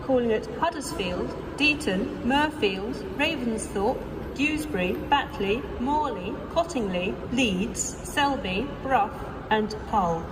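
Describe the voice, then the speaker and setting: Over noticeable background noise, a woman with a fairly high pitch and lively intonation talks at a very slow pace. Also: very even loudness. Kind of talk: train station announcement. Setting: train station PA system.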